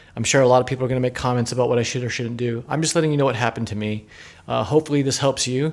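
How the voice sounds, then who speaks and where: A man with a medium-pitched voice talks very fast and with fairly even intonation over noticeable background noise. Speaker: car owner vlogger. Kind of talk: casual rant. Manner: repetitive, halting.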